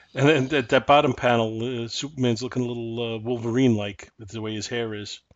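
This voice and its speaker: A plain, everyday voice at a fairly quick pace, with hardly any pauses, fairly even intonation and big swings in loudness. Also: man, medium pitch for a man. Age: 50s. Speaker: comic book podcast co-host. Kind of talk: casual chat.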